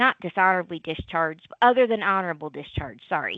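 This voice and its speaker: This woman's pitch is medium and varies in an ordinary way. She talks fairly quickly. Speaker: social worker presenting on veteran services. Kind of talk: presentation. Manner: fast.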